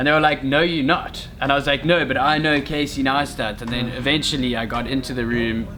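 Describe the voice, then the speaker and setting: A man with a fairly high pitch talks at a fairly quick pace with fairly even intonation amid noticeable background noise. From South Africa, Cape Town. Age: 20s. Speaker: friend of the vlogger. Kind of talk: casual chat.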